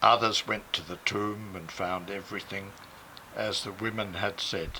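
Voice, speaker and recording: A man at a fairly slow pace, with fairly low pitch and monotone, flat intonation. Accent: Australian. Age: 80s+. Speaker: retired minister and author. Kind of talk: reading aloud.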